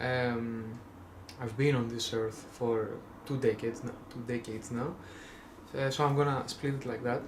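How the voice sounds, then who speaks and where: Audible room echo surrounds the recording. A man talks in a Greek accent. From Greece. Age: 20s. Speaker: vlogger. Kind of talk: casual monologue. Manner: halting, many fillers.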